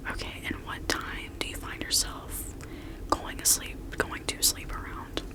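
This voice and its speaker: A woman whispers in a calm tone at a fairly slow pace. Noticeable background noise can be heard. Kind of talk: ASMR roleplay, personal attention, improvised. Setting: studio with light storm sounds in the background. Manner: soft-spoken, calm, relaxing.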